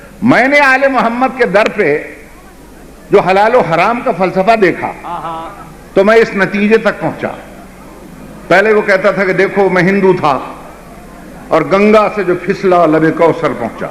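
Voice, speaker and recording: Noticeable background noise sits behind the speaker. He is a man with a high-pitched voice and ordinary pitch variation. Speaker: Shia religious scholar. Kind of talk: storytelling sermon address to audience. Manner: emotional, impassioned.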